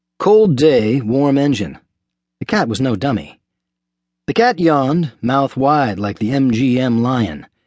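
Against a quiet background, a man with an unremarkable speaking voice talks at a fairly slow pace, with medium pitch and lively intonation. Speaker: audiobook narrator playing a police officer. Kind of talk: dramatic audiobook narration, in character. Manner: wry, folksy, good-humored.

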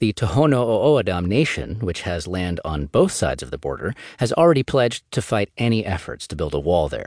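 Vocal fry and very wide pitch swings in a man's voice of medium pitch. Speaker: audiobook narrator. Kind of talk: audiobook reading of a magazine article, read aloud in a neutral, informative tone. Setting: studio. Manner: even, measured, formal; steady news-style delivery, little emotion.

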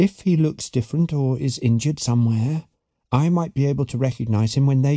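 Plain reading aloud with ordinary pitch variation against a quiet background

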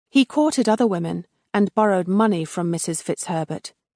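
At a moderate pace, a woman speaks in a dramatic tone, her medium pitch rising and falling with lively intonation. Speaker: audiobook narrator. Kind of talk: audiobook narration of a history book; dramatic narration. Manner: dramatic, storytelling tone with wry emphasis; formal, measured.

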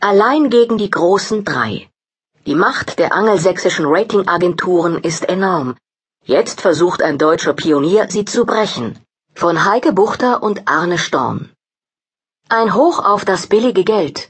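At a fairly slow pace, a woman with an ordinary speaking voice talks at a medium pitch with lively intonation. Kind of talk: news-style headline reading, table of contents. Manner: brisk, neutral, formal.

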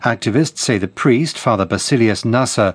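A man with a British accent talks fairly quickly with lively intonation, in a dry, close sound with no echo. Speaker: newsreader. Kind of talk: news reading. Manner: formal.

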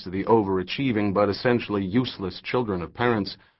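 Someone is reading aloud in a natural voice, and the pitch shifts in an ordinary way.

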